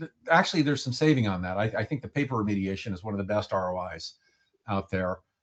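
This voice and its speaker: With the background quiet, a man speaks fairly quickly. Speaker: records management consultant. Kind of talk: webinar presentation. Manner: fast.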